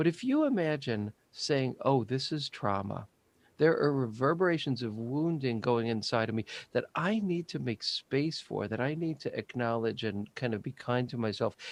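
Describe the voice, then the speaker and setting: A man speaks in an ordinary speaking voice at medium pitch and a moderate pace. His intonation is lively, and the sound is dry and close with no echo. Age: 60s. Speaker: psychotherapist. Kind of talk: interview.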